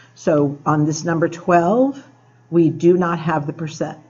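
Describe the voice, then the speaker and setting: A woman's fairly low voice with ordinary pitch variation and audible room echo. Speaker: math teacher. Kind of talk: tutorial. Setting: classroom after school.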